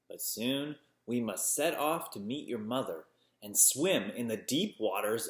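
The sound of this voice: Lively intonation in an unforced reading voice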